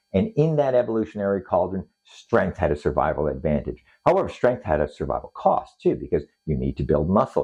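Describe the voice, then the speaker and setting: A dark, mellow tone with vocal fry carries very wide pitch swings at a moderate pace. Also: man. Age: 60s. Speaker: fitness coach. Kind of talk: talking-head video monologue.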